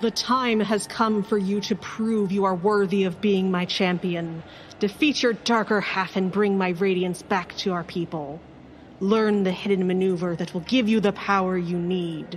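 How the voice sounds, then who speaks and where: A booming, female-sounding put-on character voice at medium pitch comes at a moderate pace. Clear background noise can be heard. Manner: commanding, divine.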